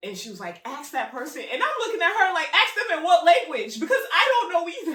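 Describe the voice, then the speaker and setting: Her voice raised and projected, a woman talks at a fairly quick pace with an extremely high pitch and very wide pitch swings, in audible room echo. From Congo. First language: Lingala. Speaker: podcast host. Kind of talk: casual chat.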